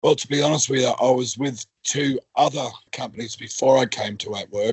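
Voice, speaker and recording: A man's medium-pitched voice with an Australian accent at a fairly quick pace. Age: 60s. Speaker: worker returned to work after injury. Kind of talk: podcast interview.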